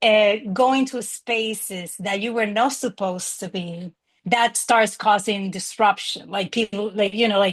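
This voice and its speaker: A woman speaks at a fairly slow pace with medium pitch and a strong Spanish accent. Her intonation is fairly even, and the background is quiet. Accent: thick Spanish. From Dominican Republic. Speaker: graduate student. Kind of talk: panel discussion.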